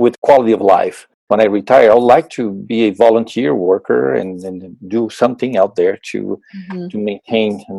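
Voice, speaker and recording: With a Portuguese accent and lively intonation, a man speaks with hardly any pauses in a dry, close sound with no echo. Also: medium pitch for a man, moderate pace. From Brazil. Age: 50s. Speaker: purchasing manager. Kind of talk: interview.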